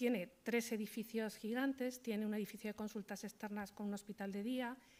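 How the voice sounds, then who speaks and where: A woman's voice pitched fairly high, at a moderate speed. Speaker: hospital social work manager. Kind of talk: conference talk. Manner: soft-spoken; halting.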